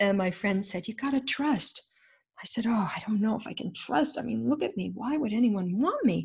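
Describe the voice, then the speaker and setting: With vocal fry and lively intonation, a woman talks at a moderate pace in a fairly high pitch. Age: 70s. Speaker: author and intuitive therapy coach. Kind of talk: interview storytelling.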